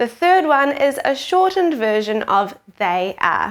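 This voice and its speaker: Speaking at a fairly slow pace, a woman's high voice rises and falls in very wide pitch swings. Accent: New Zealand. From New Zealand. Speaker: teacher. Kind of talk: tutorial. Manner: clear, slow explanatory pace for kids.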